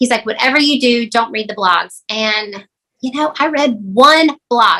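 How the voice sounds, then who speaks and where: A woman speaks in a Southern US accent with a high pitch. Her tone is bright and sharp, with ordinary pitch variation. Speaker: real estate agent. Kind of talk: podcast interview.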